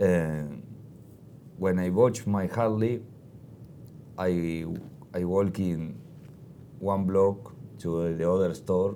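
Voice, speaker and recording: With long, frequent pauses, a man speaks very slowly in a very deep, low voice, his tone dark and mellow and his pitch varying in an ordinary way. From Argentina. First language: Spanish. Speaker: motorcycle traveler. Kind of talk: interview. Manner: halting.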